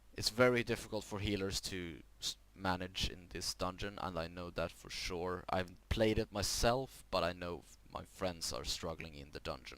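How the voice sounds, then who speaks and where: The speech moves at a moderate pace with hardly any pauses, ordinary pitch variation and vocal fry. Its loudness swings widely. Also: man, very deep, low pitch for a man. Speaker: gaming youtuber. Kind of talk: tutorial. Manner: halting, self-correcting.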